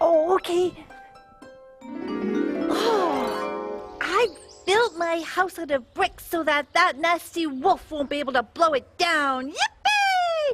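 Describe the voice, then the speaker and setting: An extremely high-pitched cartoonish character voice talks at a very slow pace. Clear music plays in the background. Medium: puppet. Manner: playful, teasing.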